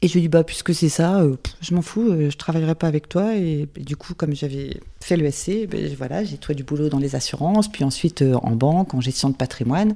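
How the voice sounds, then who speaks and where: A woman speaks at a moderate pace with a very deep, low pitch, a dark, mellow tone and ordinary pitch variation. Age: 50s. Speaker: winegrower. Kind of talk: interview.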